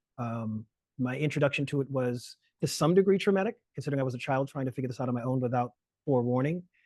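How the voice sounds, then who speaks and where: Talking at a very fast pace with a South Carolina Lowcountry accent, a man keeps a medium pitch and ordinary pitch variation. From US South, Charleston South Carolina, Gullah Geechee. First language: Gullah. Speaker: lecturer and language justice activist. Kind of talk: webinar talk. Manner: halting, many fillers and restarts.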